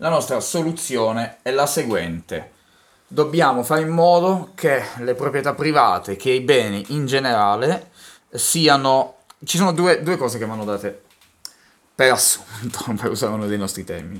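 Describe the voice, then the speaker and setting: Speaking at a moderate pace, a man uses an ordinary speaking voice at medium pitch with lively intonation. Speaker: podcast co-host. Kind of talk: casual chat.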